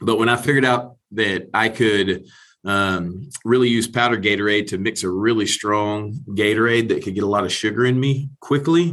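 This man has an unremarkable speaking voice, medium in pitch with ordinary pitch variation, and he speaks at a moderate pace. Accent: American. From Texas. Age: 40s. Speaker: former pro football player. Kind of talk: interview conversation.

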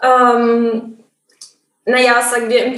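A woman with a high pitch talks in a room with audible echo. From South Tyrol, northern Italy. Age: 20s. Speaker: medical student. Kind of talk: interview. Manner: hesitant, many filler sounds.

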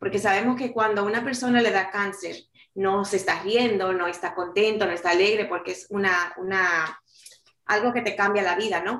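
With fairly even intonation, a woman at a medium pitch talks at a moderate pace in an unremarkable speaking voice. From New York City, Dominican-born. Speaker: author and life coach. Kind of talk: interview.

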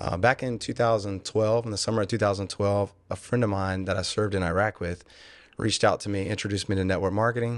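A man with a Louisiana accent speaks very fast at a fairly low pitch, his intonation fairly even, over a quiet background. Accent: Southern US (Louisiana). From Louisiana, Lake Charles. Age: 40s. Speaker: business owner, former state policeman. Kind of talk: interview.

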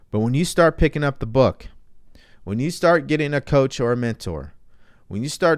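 Lively intonation with an American accent on a very clean recording, silent background. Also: man. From California. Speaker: mindset coach. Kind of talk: livestream talk.

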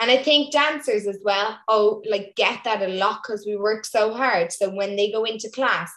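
A woman has a plain, everyday voice with a fairly high pitch and ordinary pitch variation. She speaks at a moderate pace with hardly any pauses. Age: 20s. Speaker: Irish dancer and coach. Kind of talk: casual chat.

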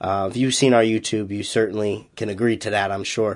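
Over a quiet background, a man speaks with a slight Boston accent. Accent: slight Massachusetts, Boston-like. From Massachusetts, US. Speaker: powerlifting coach and podcast host. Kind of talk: solo podcast recap.

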